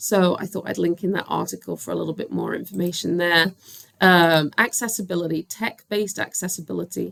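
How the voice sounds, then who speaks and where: A plain, everyday voice speaks at a moderate pace. The pitch varies in an ordinary way. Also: woman. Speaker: assistant principal and special education teacher. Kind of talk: recorded presentation. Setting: recording alone at a computer.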